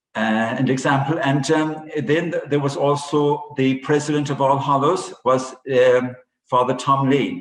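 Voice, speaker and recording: Speaking with a Cork accent at a moderate pace, a man has a fairly high pitch. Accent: Cork Irish. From Ireland, West Cork. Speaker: priest. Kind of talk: interview. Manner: halting.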